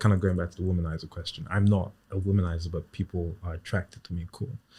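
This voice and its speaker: Speaking at a very fast pace, a man with a dark, mellow tone sounds somewhat breathy on a very clean recording with a silent background. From Ghana. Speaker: online voice content creator. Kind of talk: interview answer.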